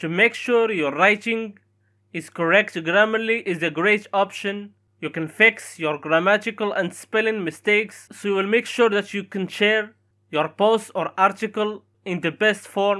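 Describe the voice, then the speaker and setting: A non-native accent at a fairly slow pace. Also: very clean recording, silent background. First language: not English. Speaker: tech YouTuber. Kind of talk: tutorial.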